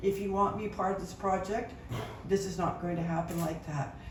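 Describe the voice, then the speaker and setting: Over noticeable background noise and audible room echo, a woman speaks at a moderate pace and medium pitch in a flat, monotone way. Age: 70s. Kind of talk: public speech. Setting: announcement event with audience.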